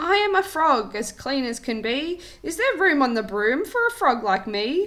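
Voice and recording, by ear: A woman's put-on character voice, croaky and high-pitched, with very wide pitch swings. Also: moderate pace.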